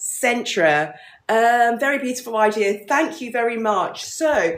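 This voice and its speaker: Noticeable background noise sits behind this recording. A woman with a British accent speaks at a fairly slow pace. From London, England. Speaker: business founder. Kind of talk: live stream chat. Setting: livestream.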